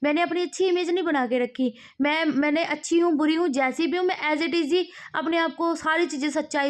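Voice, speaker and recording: A woman's extremely high voice with fairly even intonation, a moderate pace and a quiet background. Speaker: vlogger. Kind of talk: casual vlog talk. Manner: loud, raised tone.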